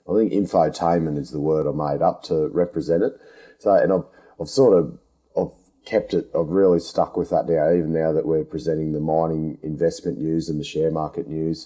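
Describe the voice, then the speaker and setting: In a strong Australian accent, the voice moves at a fairly quick pace with fairly even intonation and a dark, mellow tone. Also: man, very deep, low pitch for a man. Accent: broad Australian. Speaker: podcast host, underground miner. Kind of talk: interview. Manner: casual, down-to-earth; halting, stammering.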